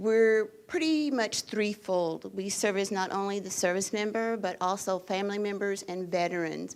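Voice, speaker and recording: Pitch moves in an ordinary way. The voice is in an American accent. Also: woman. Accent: Texas twang when excited. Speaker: education center representative. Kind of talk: panel presentation. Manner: faster and higher when excited.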